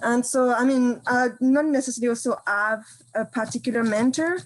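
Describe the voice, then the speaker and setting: A woman with a French accent speaks with ordinary pitch variation. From France, Brittany countryside. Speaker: campus farm coordinator. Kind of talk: panel discussion.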